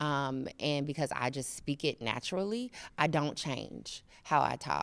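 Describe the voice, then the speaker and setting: A woman speaks in a very deep, low pitch with vocal fry. Her pitch variation is ordinary. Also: fairly slow pace, very clean recording, silent background. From Chicago, US Midwest. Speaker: professor and associate dean. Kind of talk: podcast interview. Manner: animated.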